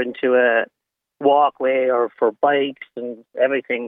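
A man with an Irish accent speaks at a fairly high pitch. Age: 60s.

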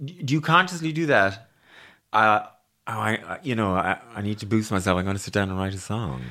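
A fairly low-pitched man with an Irish accent, a bright, sharp tone and very wide pitch swings, on a very clean recording with a silent background. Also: moderate pace. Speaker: podcast host. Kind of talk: interview.

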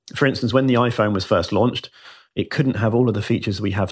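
A man with a British accent, his intonation fairly even, against a quiet background. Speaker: biohacker and former marketing CEO. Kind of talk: radio interview.

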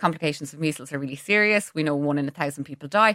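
In a very clean recording with a silent background, a woman with an Irish accent has a bright, sharp tone and ordinary pitch variation, sounding dry and close with no echo. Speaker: pharmacist. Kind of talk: radio interview.

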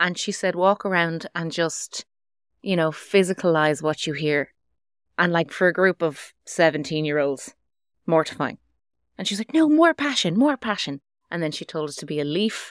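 Someone with an Irish accent speaks at a moderate pace in a dry, close sound with no echo. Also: woman, fairly low pitch for a woman, ordinary pitch variation, very clean recording, silent background. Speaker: radio presenter. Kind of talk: casual chat. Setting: studio.

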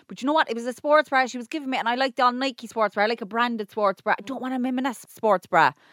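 A woman speaks high-pitched at a very fast pace, with hardly any pauses and ordinary pitch variation. The sound is dry and close with no echo. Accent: Irish. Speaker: podcast co-host. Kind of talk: casual chat.

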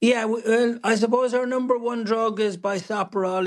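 The speaker has an Irish accent and fairly even intonation. The background is quiet. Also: man. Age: 70s. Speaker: company founder and chief executive. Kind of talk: radio interview.

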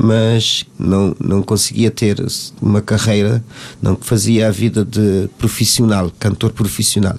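A man's fairly low, monotone, flat delivery at a very slow pace. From Cape Verde. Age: 50s. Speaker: singer. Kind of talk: casual chat. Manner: halting.

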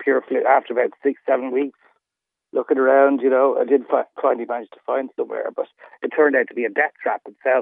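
A man talks with an Irish accent. His pace is very fast. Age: 50s. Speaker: caller. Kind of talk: phone-in call. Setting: phone call. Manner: halting.

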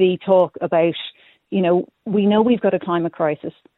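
This is a woman speaking with an Irish accent. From Ireland, Galway. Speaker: cycle commuter. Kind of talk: radio phone-in. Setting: phone call.

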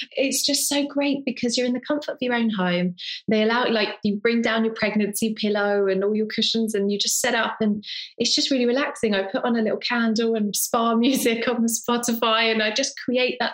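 An ordinary speaking voice from a woman with a fairly high pitch, fairly even intonation, a fairly quick pace and very even loudness. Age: 30s. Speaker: model and presenter. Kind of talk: casual chat.

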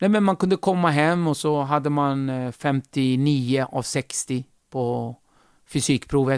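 Dry and close with no echo, on a very clean recording with a silent background, a man with an unremarkable speaking voice talks at medium pitch with ordinary pitch variation. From Kurdish region of Turkey, raised in Sweden from age 8. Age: 40s. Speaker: comedian. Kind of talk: casual interview.

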